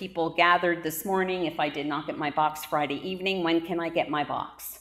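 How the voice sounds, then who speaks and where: A woman speaks in a normal speaking voice with a fairly low pitch. Her pace is fairly quick. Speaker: pastor. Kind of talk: church announcements. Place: church. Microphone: camera far.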